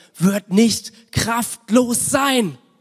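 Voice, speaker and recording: A man speaking in a passionate tone, the sound dry and close with no echo. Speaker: pastor. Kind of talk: sermon with prayer. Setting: church. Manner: passionate, fervent; informal, mixes English words.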